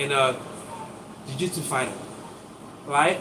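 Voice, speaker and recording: Both audible room echo and noticeable background noise surround a man's animated tone. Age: 50s. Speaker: acupuncturist. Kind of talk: live stream demonstration. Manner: casual, animated.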